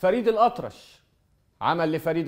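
A man at a fairly slow pace, quiet background. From Egypt. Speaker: TV presenter. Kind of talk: storytelling monologue. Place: studio. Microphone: lapel.

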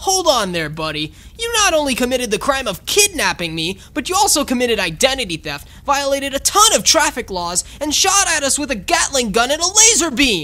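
A cartoonish character voice speaks at a high pitch with very wide pitch swings and a fairly quick pace. There are hardly any pauses, with light background noise behind it. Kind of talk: cartoon comedy. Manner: cocky, upbeat.

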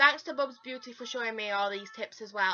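A woman talking at a very fast pace over light background noise. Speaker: beauty vlogger. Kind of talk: casual vlog chat. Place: home room. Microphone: phone near.

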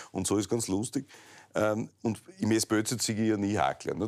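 Over a quiet background, a man speaks at a moderate pace in a dark, mellow tone. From Styria, Austria. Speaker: talk show host. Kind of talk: interview. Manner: casual, joking. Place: office. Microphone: lapel.

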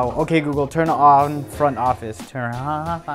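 Clear music plays in the background. A man speaks with ordinary pitch variation. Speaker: food vlogger. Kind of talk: casual vlog chat, food review.

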